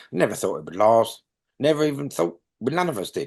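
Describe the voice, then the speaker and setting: Against a quiet background, a man with a London accent speaks with very wide pitch swings. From London, England. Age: 60s. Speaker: punk bass player. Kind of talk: interview. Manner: halting.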